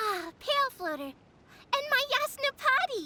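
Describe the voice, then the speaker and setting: A woman puts on a squeaky character voice at an extremely high pitch, speaking at a fairly slow pace. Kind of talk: lofty archaic speech. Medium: fan dub. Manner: grandiose, formal, theatrical.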